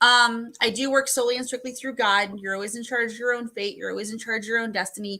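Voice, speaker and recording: Bright and sharp in tone, the voice races at a very fast pace with hardly any pauses and fairly even intonation in a very clean recording with a silent background. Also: woman, fairly high pitch for a woman. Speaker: psychic medium. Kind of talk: psychic reading.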